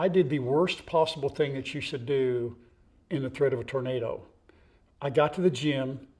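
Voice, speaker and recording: A man with a fairly high pitch, ordinary pitch variation and a fairly quick pace. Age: 60s. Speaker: farm vlogger. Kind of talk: casual chat. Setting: outdoors. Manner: animated.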